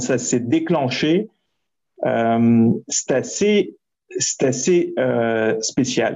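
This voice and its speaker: The speaker moves at a very slow pace with lively intonation. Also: man. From France. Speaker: entrepreneur and startup coach. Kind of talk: interview.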